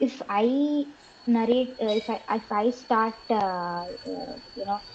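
With an Indian accent, a woman talks using lively intonation. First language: Telugu. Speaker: podcast guest. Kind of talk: casual interview chat.

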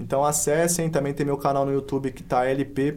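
A man's unremarkable speaking voice, medium-pitched, with fairly even intonation. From Brazil, Paulínia (São Paulo state). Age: 20s. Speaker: MC and street artist. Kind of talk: casual interview. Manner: casual slangy speech.

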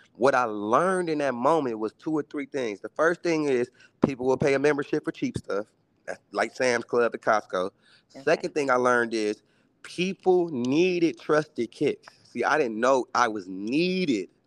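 Against a quiet background, a man with a plain, everyday voice and an American accent speaks at a moderate pace and medium pitch, his intonation lively and the sound dry and close with no echo. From Milwaukee, US Midwest. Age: 30s. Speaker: entrepreneur and sneaker reseller. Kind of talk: casual chat. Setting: video call.

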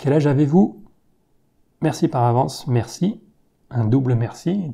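The pace is fairly slow, with long, frequent pauses and ordinary pitch variation. The tone comes across dark, mellow and somewhat breathy. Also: man. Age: 30s. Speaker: science YouTuber. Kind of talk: Q&A video monologue. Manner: hesitant with fillers.

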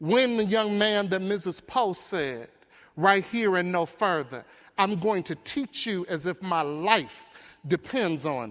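Speaking at a fairly slow pace, a man with an American accent has an animated tone, lively intonation and a high pitch. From US Midwest (Detroit). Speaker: education leader and keynote speaker. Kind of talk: keynote speech. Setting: stage with audience. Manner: animated, preacher-like.

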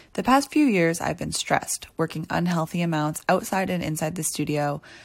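A woman with a Canadian accent talks fairly quickly in an unremarkable speaking voice, fairly low-pitched with ordinary pitch variation. The recording is very clean, with a silent background. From Ontario, Canada (near Toronto). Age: 20s. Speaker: podcast host, dancer and choreographer. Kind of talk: scripted podcast intro monologue. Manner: upbeat, motivational.

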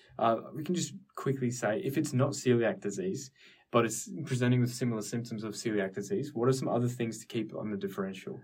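Somewhat breathy and in an Australian accent, this voice moves at a fairly quick pace with lively intonation. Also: man, medium pitch for a man. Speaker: medical student podcast host. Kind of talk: casual educational discussion. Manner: casual.

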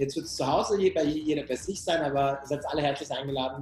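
A man talks at a very fast pace with a non-native accent and a fairly high pitch. Noticeable background noise runs throughout. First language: not German (speaking German). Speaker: HR tech company founder. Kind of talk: interview. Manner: repetitive fillers.

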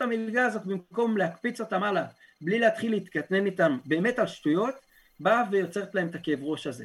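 A man with a high-pitched voice speaks at a fairly quick pace, his pitch moving up and down in an ordinary way. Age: 20s. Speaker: yeshiva student, protest leader, former soldier. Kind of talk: podcast interview.

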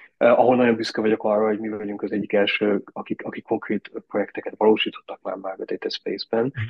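Words rush out very fast, with hardly any pauses between them. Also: man. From Austria (raised abroad, schooled in Austria). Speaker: tourism innovation director. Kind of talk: interview. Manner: halting, many fillers.

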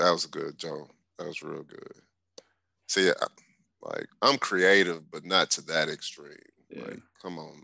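Speaking at a fairly slow pace, a man leaves long, frequent pauses and makes big swings in loudness. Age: 30s. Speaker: podcast guest. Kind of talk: casual chat. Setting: remote call.

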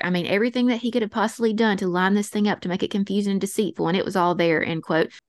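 In an Appalachian accent, a woman speaks with ordinary pitch variation against a quiet background. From North Alabama. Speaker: podcast host. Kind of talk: true crime storytelling. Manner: fast.

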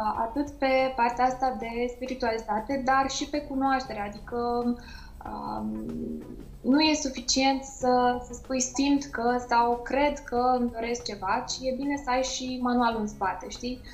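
With music in the background and audible room echo, the speech goes at a very slow pace with fairly even intonation. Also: woman. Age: 30s. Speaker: beauty trainer. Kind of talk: interview.

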